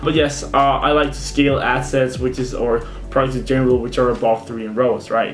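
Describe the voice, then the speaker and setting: Noticeable noise sits behind a male speaker whose words ring with audible room reverb. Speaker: e-commerce marketing youtuber. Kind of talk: tutorial. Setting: screen recording at computer. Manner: fast; casual.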